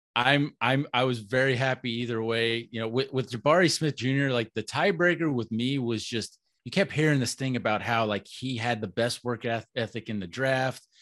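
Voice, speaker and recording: In an ordinary speaking voice, a man with an American accent speaks at a moderate pace and medium pitch, with ordinary pitch variation, hardly any pauses and a quiet background. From Florida, Orlando. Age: 30s. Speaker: basketball blogger. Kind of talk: casual chat.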